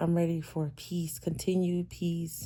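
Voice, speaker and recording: A woman speaks in a calm, dark, mellow tone at a fairly low pitch, somewhat breathy. Her pace is fairly slow and her intonation monotone and flat. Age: 30s. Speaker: vlogger. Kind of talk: casual monologue.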